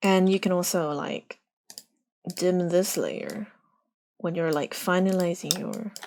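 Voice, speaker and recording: The speech is very slow, with a non-native accent. Long pauses come often. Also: woman, medium pitch for a woman, fairly even intonation. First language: not English. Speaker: art streamer teaching drawing. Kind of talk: live drawing tutorial. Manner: casual, halting with fillers.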